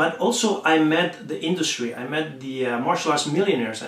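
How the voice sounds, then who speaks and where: A man with a Spanish accent, fairly quick and lively in intonation, amid noticeable background noise and audible room echo. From Spain. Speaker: martial arts instructor. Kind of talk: promotional talk to camera. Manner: halting, many fillers.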